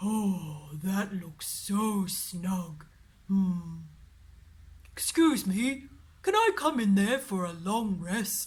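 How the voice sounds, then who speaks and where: A put-on character voice at a middle pitch. It moves at a very slow pace, with long, frequent pauses. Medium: read story.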